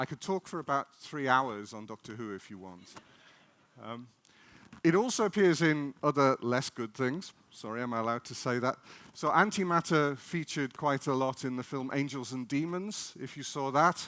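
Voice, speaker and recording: A man with an English accent speaks at a fairly high pitch, with lively intonation and big swings in loudness. The sound is dry and close with no echo. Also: moderate pace. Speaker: particle physicist. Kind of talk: public lecture. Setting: festival stage with audience.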